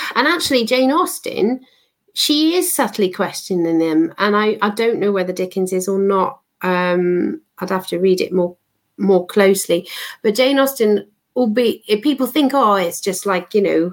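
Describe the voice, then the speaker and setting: A woman talks at a moderate pace in a plain, everyday voice, medium in pitch and lively in intonation. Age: 50s. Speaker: author. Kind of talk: casual chat.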